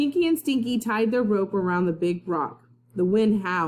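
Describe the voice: A plain read-aloud delivery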